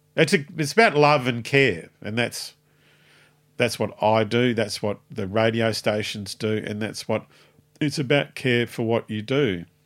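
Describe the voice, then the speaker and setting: A man with an Australian accent talks at a fairly slow pace and a medium pitch with ordinary pitch variation, in a very clean recording with a silent background. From Tasmania, Australia. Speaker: music booking agent and promoter. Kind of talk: interview. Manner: rambling, halting.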